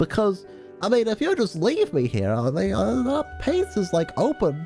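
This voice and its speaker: This is a booming, put-on character voice. Clear music plays in the background. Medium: game stream. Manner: cocky, teasing.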